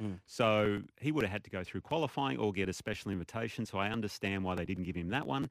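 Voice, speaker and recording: On a very clean recording with a silent background, a man with a fairly low pitch and lively intonation speaks at a very fast pace with hardly any pauses. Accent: Australian. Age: 50s. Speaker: golf pundit, former pro golfer. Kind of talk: sports radio chat.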